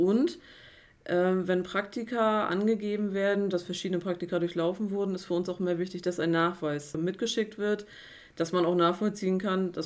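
A woman with an unremarkable speaking voice at medium pitch, fairly even intonation and a moderate pace, on a very clean recording with a silent background. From Mecklenburg-Vorpommern, Güstrow. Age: 30s. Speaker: HR officer and apprenticeship trainer. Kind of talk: interview.

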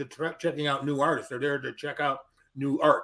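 Delivered in a normal speaking voice, the words come at a fairly brisk clip. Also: man. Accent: American. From Chicago area, Illinois. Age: 60s. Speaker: comic creator. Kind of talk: casual chat.

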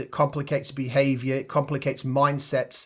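Against a quiet background, a man speaks at a moderate pace. His voice is fairly high in pitch and somewhat breathy. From Yorkshire, England. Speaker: sales enablement leader. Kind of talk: interview.

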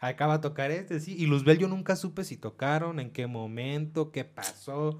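With a Mexican accent, a man speaks at a moderate pace with ordinary pitch variation and big swings in loudness, on a very clean recording with a silent background. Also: fairly high pitch for a man. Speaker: podcast co-host. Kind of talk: casual chat.

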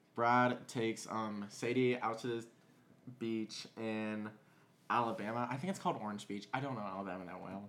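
A man talks at a moderate pace and medium pitch with ordinary pitch variation. He has an unremarkable speaking voice. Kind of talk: casual storytelling. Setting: home dining room.

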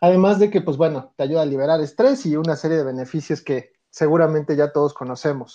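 A man at a fairly high pitch and fairly quick pace, with ordinary pitch variation, against a quiet background. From Mexico City. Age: 30s. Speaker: organizational development consultant. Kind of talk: interview. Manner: hesitant, many fillers.

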